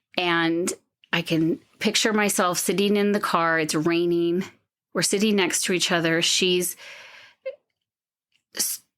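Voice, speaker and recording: Speaking fairly slowly at a fairly low pitch, a woman keeps her intonation fairly even and her loudness very even. Her long pauses come often, and the recording is very clean with a silent background. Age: 50s. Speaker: podcast guest sharing adoption story. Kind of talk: personal testimony in interview. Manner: halting, with many fillers.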